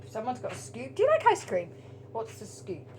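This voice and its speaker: With an English accent and a medium pitch, a woman speaks in very wide pitch swings over noticeable background noise. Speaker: spiritual tarot reader. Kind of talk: casual monologue to camera. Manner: halting, stuttering speech; animated.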